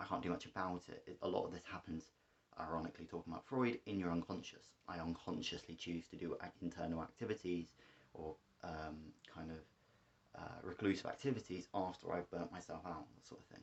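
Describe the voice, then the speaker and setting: With an English accent, a man speaks at a very deep, low pitch and a fairly quick pace. His pitch varies in an ordinary way, while his loudness swings widely. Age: 20s. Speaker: vlogger. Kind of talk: personal vlog monologue. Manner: fast; halting, many fillers.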